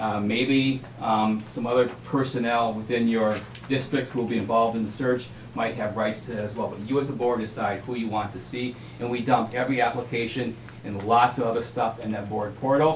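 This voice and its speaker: Over noticeable background noise and audible room echo, a man speaks at a medium pitch and a fairly quick pace in a monotone, flat intonation. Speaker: superintendent search consultant. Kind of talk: presentation at a school board meeting. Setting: school board meeting. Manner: fast.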